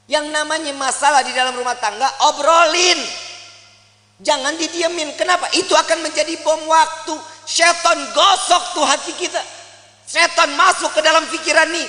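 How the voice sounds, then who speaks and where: Amid noticeable background noise, a man with a Jakarta accent uses a raised, projected voice at an extremely high pitch, with fairly even intonation and a moderate pace. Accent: Betawi. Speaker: Islamic preacher. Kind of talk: religious sermon. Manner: casual, humorous.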